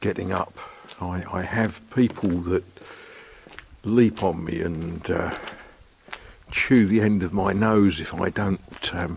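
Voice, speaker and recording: With light background noise behind him, a man speaks at a very slow pace with long, frequent pauses and a very deep, low pitch that varies in an ordinary way. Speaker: vlogger. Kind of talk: casual vlog chat. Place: street. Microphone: phone near.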